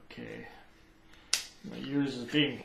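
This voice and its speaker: A man's fairly even intonation carries through audible room echo and noticeable background noise. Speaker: musician demonstrating gear. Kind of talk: tutorial. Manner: halting.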